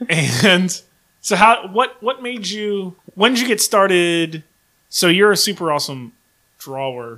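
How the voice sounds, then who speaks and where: A man speaks in a raised, projected voice with a high pitch and a bright, sharp tone. His pitch swings very widely, and his pace is fairly slow. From Virginia. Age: 30s. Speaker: podcast host. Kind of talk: casual chat. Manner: animated.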